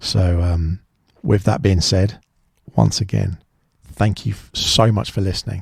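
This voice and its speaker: A man speaks fairly slowly in a somewhat breathy voice. His pitch is fairly low, with ordinary variation. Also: dry, close sound with no echo. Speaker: podcast host. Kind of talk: solo podcast monologue. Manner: halting.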